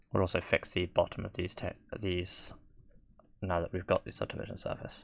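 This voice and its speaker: This very clean recording has a silent background. A man speaks at a fairly quick pace. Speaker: 3D software tutorial maker. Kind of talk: tutorial. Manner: monotone.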